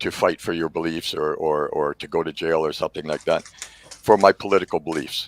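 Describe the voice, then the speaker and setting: A man with a Canadian accent talks at a fairly quick pace, the sound dry and close with no echo, over noticeable background noise. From southwestern Ontario. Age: 60s. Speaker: political candidate. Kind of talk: interview. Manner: halting.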